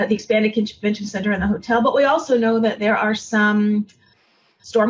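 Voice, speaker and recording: With a plain, everyday voice, a woman talks at a moderate pace and a fairly high pitch with fairly even intonation. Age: 60s. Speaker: tourism executive. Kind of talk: interview.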